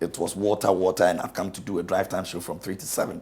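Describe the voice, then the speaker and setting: This man talks at a very fast pace in a very deep, low voice. His delivery is somewhat breathy. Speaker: radio presenter. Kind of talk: interview, personal story.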